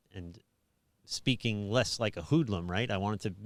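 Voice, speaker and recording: A man talks at a fairly quick pace with an American accent, his pitch fairly low and its variation ordinary. The recording is very clean, with a silent background. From New York City (Staten Island). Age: 50s. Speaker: pastor. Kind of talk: casual chat. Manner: halting.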